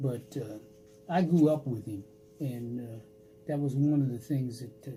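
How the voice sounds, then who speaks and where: A man with an American accent speaks at a fairly high pitch. His voice is somewhat breathy, with a dark, mellow tone. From Washington, D.C. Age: 90s. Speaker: World War II veteran, Tuskegee Airman. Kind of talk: interview answer.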